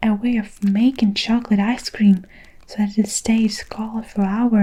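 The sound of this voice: The voice reads in an unforced way, its intonation fairly even.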